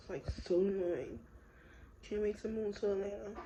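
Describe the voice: A woman at medium pitch and moderate pace, dark, mellow tone, fairly even intonation, with audible room echo.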